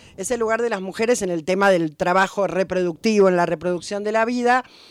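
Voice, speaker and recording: This woman speaks at a fairly quick pace. Her pitch varies in an ordinary way. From Buenos Aires, Argentina. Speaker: historian and popular educator. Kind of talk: radio interview.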